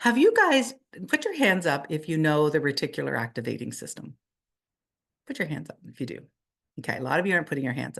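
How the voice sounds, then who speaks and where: A woman at a very fast pace, with long, frequent pauses and big swings in loudness. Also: quiet background. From Canada. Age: 60s. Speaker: network marketing leader. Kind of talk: motivational training talk.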